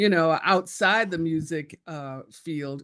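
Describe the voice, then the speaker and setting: Speaking fairly slowly with an American accent, a woman uses a very deep, low pitch and ordinary pitch variation. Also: very clean recording, silent background. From US Midwest, Detroit. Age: 70s. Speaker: pastor. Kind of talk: interview. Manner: halting.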